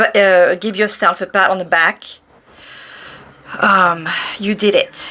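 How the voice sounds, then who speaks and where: At a fairly slow pace, the voice comes across bright and sharp in tone, with monotone, flat intonation and long, frequent pauses. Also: woman, medium pitch for a woman. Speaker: tarot reader. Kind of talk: tarot reading. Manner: halting, stuttering; warm, reassuring.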